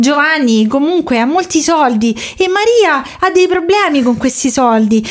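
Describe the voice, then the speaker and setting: The talking runs fairly fast with lively intonation while noticeable background noise carries on. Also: woman. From Rome, Italy. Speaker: podcast host. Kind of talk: storytelling.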